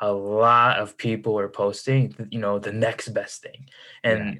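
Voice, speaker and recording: A man speaks at a medium pitch with a Chicago accent and a bright, sharp tone. The recording is very clean, with a silent background. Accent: Chicago American. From US Midwest, Chicago suburbs. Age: 20s. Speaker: entrepreneur and finance content creator. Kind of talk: casual interview chat.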